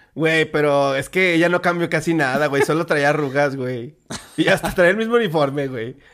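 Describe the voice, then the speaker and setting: With a plain, everyday voice, a man talks at a moderate pace, fairly high in pitch with ordinary pitch variation. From Mexico. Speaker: podcast co-host. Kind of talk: casual chat.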